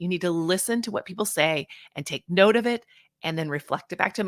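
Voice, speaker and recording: A woman's medium-pitched, bright, sharp voice, animated with lively intonation, at a moderate pace, dry and close with no echo, on a very clean recording with a silent background. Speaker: social media marketing coach. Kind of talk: live stream talk. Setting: live stream. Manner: talkative, animated.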